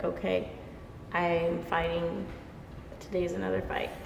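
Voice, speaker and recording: In an American accent, a woman talks at a fairly slow pace. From Los Angeles. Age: 20s. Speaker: dancer, performing artist. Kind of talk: interview answer.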